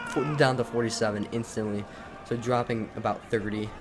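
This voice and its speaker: A man speaks at a fairly quick pace in a fairly low pitch, with noticeable background noise. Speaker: gaming commentator. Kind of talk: live commentary. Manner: fast; animated.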